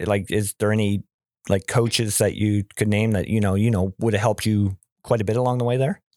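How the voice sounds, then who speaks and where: In a dry, close sound with no echo, a man with a fairly low pitch speaks at a fairly quick pace in a monotone, flat intonation with very even loudness. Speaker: podcast host. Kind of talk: casual interview. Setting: remote recording with headphones.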